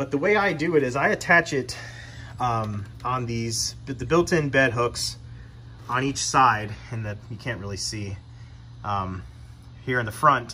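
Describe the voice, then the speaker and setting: Over light background noise, a man with vocal fry and lively intonation talks at a fairly slow pace with long, frequent pauses. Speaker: truck owner demonstrating. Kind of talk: tutorial. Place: garage. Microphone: phone near.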